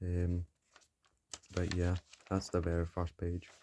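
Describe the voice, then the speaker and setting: This quiet man has a very deep, low pitch and a dark, mellow tone. He speaks at a moderate pace, and the sound is dry and close with no echo. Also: very clean recording, silent background. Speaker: beginner artist, YouTuber. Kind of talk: casual art showcase narration.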